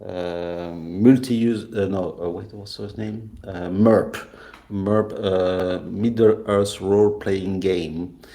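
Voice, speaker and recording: A man's fairly low, dark, mellow voice at a very slow pace, fairly even in intonation with big swings in loudness, in audible room echo. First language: not English. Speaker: game creator. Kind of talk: interview. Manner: halting.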